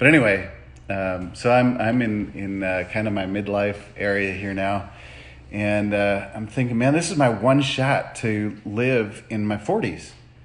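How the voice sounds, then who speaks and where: The speech moves at a fairly slow pace with ordinary pitch variation. Audible room echo surrounds it. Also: man. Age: 40s. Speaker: motivational vlogger. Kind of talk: casual monologue. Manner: halting, many fillers.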